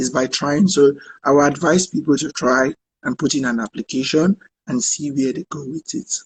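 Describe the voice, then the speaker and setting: A somewhat breathy man's voice, fairly high in pitch, with a dry, close sound and no echo. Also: ordinary pitch variation, moderate pace. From Nigeria. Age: 30s. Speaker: refugee shelter director and activist. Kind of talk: live online conversation.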